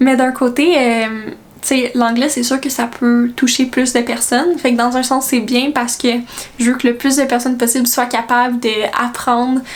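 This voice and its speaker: Over noticeable background noise, a woman with a Quebec accent speaks at a high pitch in a monotone, flat intonation with very even loudness. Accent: Québécois French. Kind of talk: casual vlog talk. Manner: hesitant, many fillers.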